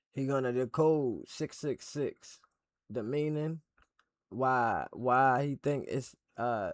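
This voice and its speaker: A man talks at a very slow pace with fairly even intonation, in a dry, close sound with no echo. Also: medium pitch for a man. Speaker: reaction streamer. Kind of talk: casual video intro.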